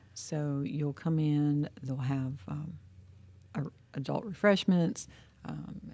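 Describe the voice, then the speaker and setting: In an American accent, the speaker talks at a very slow pace with long, frequent pauses, a dark, mellow tone and lively intonation. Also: woman, very deep, low pitch for a woman. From Ohio, Youngstown area. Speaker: chamber of commerce executive. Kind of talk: interview.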